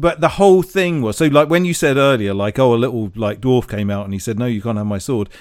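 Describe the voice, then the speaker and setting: This man has a plain, everyday voice at medium pitch. He talks fairly quickly with lively intonation. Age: 40s. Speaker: podcast co-host. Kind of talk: casual chat.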